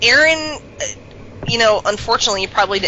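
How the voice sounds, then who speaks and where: There is noticeable background noise in this clip. Over it, a woman talks with ordinary pitch variation. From US South. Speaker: podcast panelist on online wrestling roleplay. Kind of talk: casual chat.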